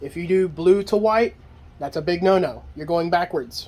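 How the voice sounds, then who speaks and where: Here a man speaks with a high pitch. His pace is moderate and his pitch varies in an ordinary way. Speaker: ceiling fan hobbyist youtuber. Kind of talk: tutorial. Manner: stumbles over words; repetitive, informal.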